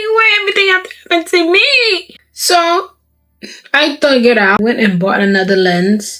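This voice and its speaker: A woman's raised, projected voice, high in pitch and animated in tone, with very wide pitch swings at a moderate pace. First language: not English. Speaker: vlogger. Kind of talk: casual vlog talk. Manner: halting.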